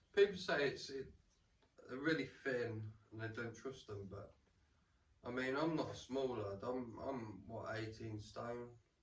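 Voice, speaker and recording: With an English Midlands accent, a man speaks fairly slowly in a somewhat breathy voice, with ordinary pitch variation, long and frequent pauses, and audible room echo. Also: medium pitch for a man. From England, Rutland. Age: 40s. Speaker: camping vlogger. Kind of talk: casual gear walkthrough. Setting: at home in lounge. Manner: casual, repetitive stammering.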